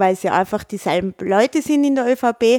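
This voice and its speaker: A woman's fairly high voice with an Austrian accent, a fairly quick pace and ordinary pitch variation. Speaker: podcast host. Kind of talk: casual chat.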